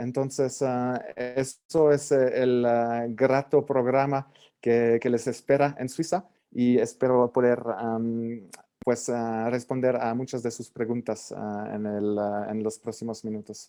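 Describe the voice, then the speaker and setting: A man's dark, mellow voice at a medium pitch, very slow, with fairly even intonation and a French accent. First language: French (speaking Spanish). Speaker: government representative. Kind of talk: panel presentation. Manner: halting, many fillers.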